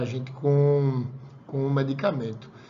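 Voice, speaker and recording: Audible room echo follows a man whose medium-pitched voice keeps a fairly even intonation. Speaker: college lecturer. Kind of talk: lecture. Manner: fast; casual, conversational.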